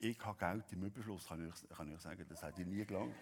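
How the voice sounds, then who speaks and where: A man speaks with a Swiss accent. His pitch is fairly low, with ordinary variation. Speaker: pastor. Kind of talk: sermon.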